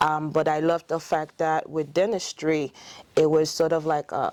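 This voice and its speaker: With a Haitian accent, a woman speaks at a fairly slow pace in a very deep, low pitch. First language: French. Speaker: dentist. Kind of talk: interview. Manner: hesitant, many fillers.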